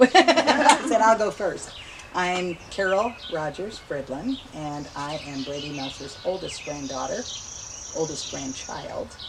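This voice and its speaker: Speaking very slowly with an American accent, a woman at medium pitch makes very wide pitch swings and big jumps in loudness over noticeable background noise. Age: 70s. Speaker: family member interviewee. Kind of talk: interview.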